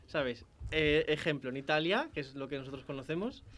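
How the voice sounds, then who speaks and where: With an unremarkable speaking voice, a man talks at a moderate pace, his fairly high pitch showing ordinary variation. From León, Spain. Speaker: university radio host. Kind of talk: casual chat. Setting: radio studio.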